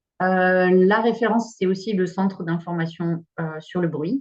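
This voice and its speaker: Somewhat breathy, this woman's voice has a medium pitch. Her intonation is fairly even. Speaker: expert speaker on noise pollution. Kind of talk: webinar presentation. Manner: fast.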